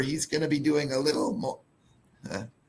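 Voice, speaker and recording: A man speaks in a somewhat breathy voice. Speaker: mining company executive. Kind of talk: corporate webinar presentation.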